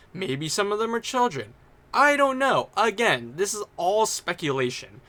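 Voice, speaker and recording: A man's high voice is raised and projected, bright and sharp, swinging very widely in pitch at a moderate pace. The recording is very clean with a silent background. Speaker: YouTube commentator. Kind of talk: commentary rant.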